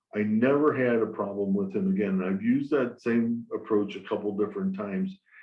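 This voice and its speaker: Music plays in the background as a man speaks at a moderate pace with fairly even intonation. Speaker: property management company executive. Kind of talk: webinar panel discussion. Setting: webinar. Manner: hesitant, many fillers.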